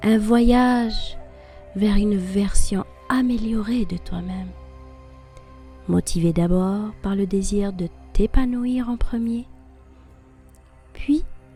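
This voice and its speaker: A woman speaks at a very slow pace with long, frequent pauses, her fairly high voice showing ordinary pitch variation. Music plays in the background. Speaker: affirmation and personal-development podcast host. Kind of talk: guided personal-development talk, motivational narration.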